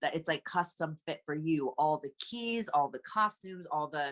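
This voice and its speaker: A woman with an American accent has an ordinary speaking voice, fairly low in pitch, with lively intonation, recorded in a dry, close sound with no echo against a quiet background. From Anaheim, California. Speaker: musical theatre actress and singer. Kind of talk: interview answer.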